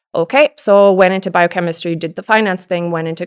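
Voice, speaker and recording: There's a woman at a medium pitch, speaking at a fairly quick pace. Her intonation is fairly even, and the sound is dry and close with no echo. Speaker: abstract painter. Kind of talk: casual interview. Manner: direct.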